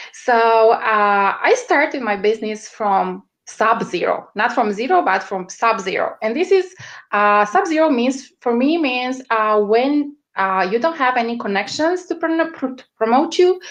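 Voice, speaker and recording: A woman with a strong Romanian accent speaks at a high pitch and a fairly slow pace, her pitch swinging very widely, against a quiet background. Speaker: media strategist. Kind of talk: interview. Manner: halting, many fillers.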